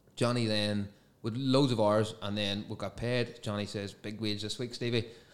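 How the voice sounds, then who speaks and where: A man with a medium-pitched voice talks in a normal speaking voice, his intonation fairly even. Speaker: guest podcaster. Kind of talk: casual chat.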